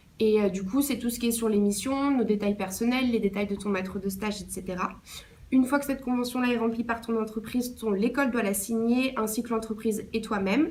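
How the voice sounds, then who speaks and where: A plain, everyday voice from a woman, fairly high in pitch, at a moderate pace with fairly even intonation. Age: 20s. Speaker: intern. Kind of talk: interview answers.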